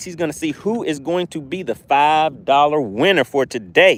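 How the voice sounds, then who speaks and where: A man talks in a fairly high voice with a slight Southern US accent. His tone is animated. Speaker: fishing YouTuber. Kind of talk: live stream commentary while fishing. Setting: outdoors by a lake.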